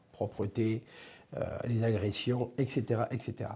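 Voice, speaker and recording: A man with a southern French accent talks at a moderate pace in a dark, mellow tone, somewhat breathy, with fairly even intonation. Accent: southern French accent, kept. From southern France, Ariège. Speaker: police director. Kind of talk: interview. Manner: hesitant, many fillers.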